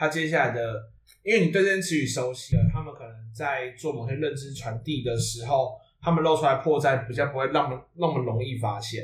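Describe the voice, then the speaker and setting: Somewhat breathy, a man speaks at a medium pitch and a fairly quick pace, with ordinary pitch variation and big swings in loudness. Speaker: podcast host. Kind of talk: casual chat.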